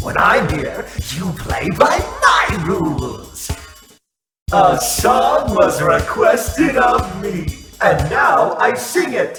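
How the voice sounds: Over faint music in the background, a woman uses a put-on character voice at a fairly low pitch with vocal fry. Her fairly bright tone makes big pitch swings at a very slow pace.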